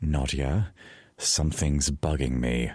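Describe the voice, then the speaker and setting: A man's put-on character voice, very deep and low in pitch, with ordinary pitch variation at a fairly slow pace. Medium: read story.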